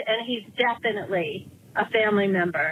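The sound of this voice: A woman speaks at a fairly quick pace with a medium pitch. Her voice has a slightly husky edge and ordinary pitch variation.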